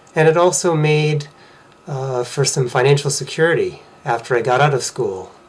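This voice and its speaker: A man with an American accent talks at a fairly high pitch over noticeable background noise. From Massachusetts, US. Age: 40s. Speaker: vlogger sharing personal story. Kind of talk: personal testimony.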